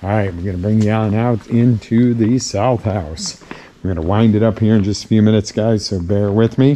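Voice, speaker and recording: Over noticeable background noise, a man with a fairly low voice speaks at a fairly quick pace. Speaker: auctioneer. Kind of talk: auction preview walkthrough. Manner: animated.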